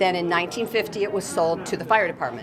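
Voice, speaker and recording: A woman with an American accent speaks in a fairly low pitch. The room echo is audible, and there is noticeable background noise. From US Midwest, Monee, Illinois. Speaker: local historical society president. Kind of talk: interview.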